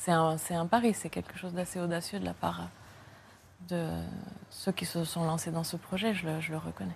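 A woman talks at a moderate pace in a somewhat breathy voice, with a fairly low pitch, fairly even intonation and long, frequent pauses. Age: 40s. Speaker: writer. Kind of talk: interview. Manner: halting.

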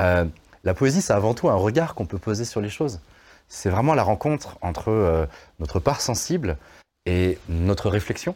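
Very wide pitch swings and long, frequent pauses mark this speech, set against a very clean, silent background. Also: man, fairly low pitch for a man, moderate pace. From France, Lyon area (Vaulx-en-Velin). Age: 40s. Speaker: slam poet and singer. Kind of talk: interview.

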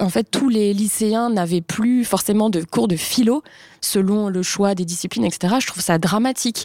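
Speaking at a fairly slow pace, a woman has an ordinary speaking voice with medium pitch and ordinary pitch variation. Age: 30s. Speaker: journalist and author. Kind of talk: panel discussion.

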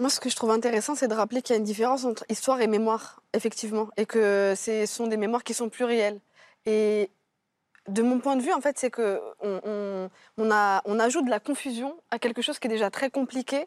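In a very clean recording with a silent background and a dry, close sound with no echo, a woman with an ordinary speaking voice talks at a fairly quick pace, fairly high in pitch, with fairly even intonation. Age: 30s. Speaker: novelist. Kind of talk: TV panel discussion. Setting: TV studio.

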